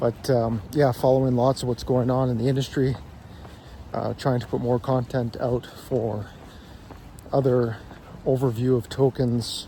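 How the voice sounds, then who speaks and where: At a fairly slow pace, a man talks in a medium pitch with flat, monotone intonation and long, frequent pauses. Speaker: crypto YouTuber. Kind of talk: casual explainer monologue. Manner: hesitant with fillers.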